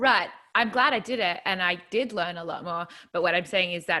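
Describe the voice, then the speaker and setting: With an Australian accent, a woman talks at a moderate pace in a bright, sharp tone on a very clean recording with a silent background. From rural New South Wales, Australia. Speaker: country singer-songwriter. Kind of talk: casual interview.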